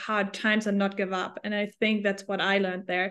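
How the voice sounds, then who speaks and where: A woman with a German accent and fairly even intonation, against a quiet background. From Germany. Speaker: hospitality tech entrepreneur. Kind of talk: interview.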